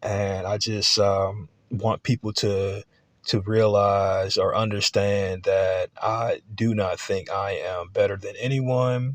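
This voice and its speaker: A man speaking at a very slow pace, with a dry, close sound with no echo and a quiet background. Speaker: college student. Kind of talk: class video presentation. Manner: matter of fact; halting, many fillers.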